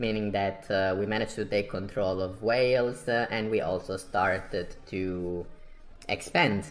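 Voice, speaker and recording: A man talks with fairly even intonation and an Italian accent. Music plays in the background. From Italy. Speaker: strategy game streamer. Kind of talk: gameplay commentary.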